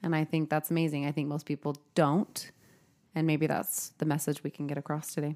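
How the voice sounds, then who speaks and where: A woman's very deep, low voice at a fairly quick pace, monotone and flat, the sound dry and close with no echo. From Utah. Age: 30s.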